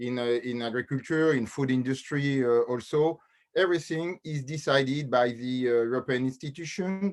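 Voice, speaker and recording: A man at a medium pitch with a French accent, moderate pace and ordinary pitch variation, against a quiet background. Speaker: lawyer and teacher. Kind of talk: webinar panel discussion. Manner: halting.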